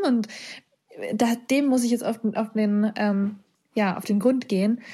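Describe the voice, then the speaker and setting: Dark, mellow tone from a woman, with fairly even intonation. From Germany. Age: 20s. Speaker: coder and author. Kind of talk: interview. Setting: video call. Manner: hesitant, many fillers.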